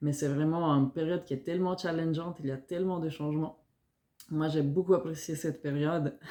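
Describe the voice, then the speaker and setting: A woman's very deep, low voice with a dark, mellow tone, a slight Italian-Swiss accent, fairly even intonation and a fairly quick pace. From Italian-speaking Switzerland (Ticino). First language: Italian (speaking French). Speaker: fitness coach and nutritionist. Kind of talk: self-introduction video for job application. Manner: hesitant, many fillers.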